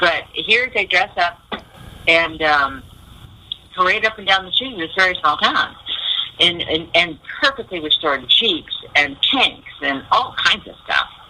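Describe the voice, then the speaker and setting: With an American accent, a woman with a fairly low pitch speaks at a fairly slow pace, with long, frequent pauses, very wide pitch swings and big swings in loudness, over noticeable background noise. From USA. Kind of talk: radio interview.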